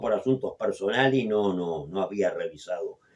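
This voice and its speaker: A man talks at a fairly quick pace. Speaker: radio host. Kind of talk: radio interview.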